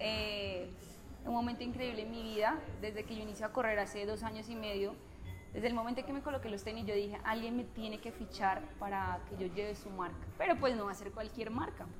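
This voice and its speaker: A woman's fairly high voice moves at a fairly quick pace with fairly even intonation. Noticeable background noise and audible room echo are present. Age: 20s. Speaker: journalist and mother. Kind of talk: casual interview chat. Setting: café.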